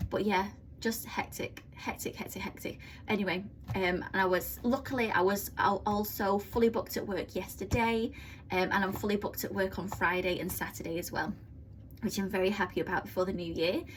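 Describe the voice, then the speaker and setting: Against noticeable background noise, a woman with a medium pitch speaks at a fairly quick pace with fairly even intonation. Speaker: budgeting vlogger. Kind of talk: casual vlog tutorial. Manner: fast; hesitant with many fillers.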